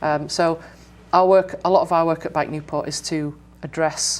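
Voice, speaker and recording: A fairly low-pitched woman with an English accent and ordinary pitch variation, music in the background. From England. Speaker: bike education director. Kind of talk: interview.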